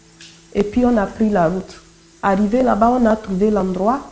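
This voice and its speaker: Speaking with a Togolese accent, a woman talks at a fairly high pitch and fairly slow pace amid noticeable background noise. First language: Kotokoli (speaking French). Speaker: convert giving testimony. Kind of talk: testimony.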